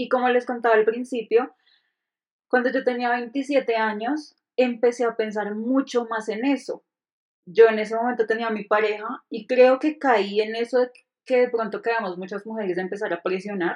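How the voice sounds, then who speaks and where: A woman with a normal speaking voice talks at a moderate pace in a fairly high pitch, her intonation fairly even against a quiet background. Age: 30s. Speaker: podcast co-host. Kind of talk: casual chat.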